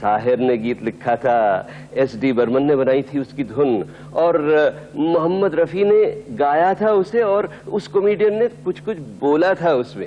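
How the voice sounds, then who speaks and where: With noticeable noise in the background, a man talks at a fairly high pitch. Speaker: radio and TV host (countdown show presenter). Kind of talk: radio-style music countdown compering. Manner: warm, engaging, conversational.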